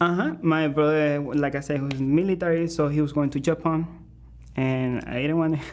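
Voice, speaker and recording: A man with a Spanish accent speaks at a moderate pace in a fairly high pitch, his intonation fairly even. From Venezuela. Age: 20s. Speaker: musician. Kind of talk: interview. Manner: halting.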